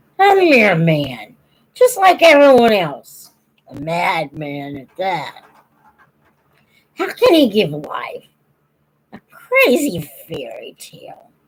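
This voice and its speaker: Putting on a gruff, growling character voice, a woman speaks at a fairly high pitch and a very slow pace with long, frequent pauses. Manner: growling, gruff; testy, scornful.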